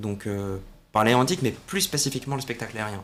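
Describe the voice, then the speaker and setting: A man's medium-pitched voice at a fairly quick pace, with ordinary pitch variation and an unremarkable speaking voice. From southern France, Salon-de-Provence area. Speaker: air show commentator and military officer. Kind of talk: interview.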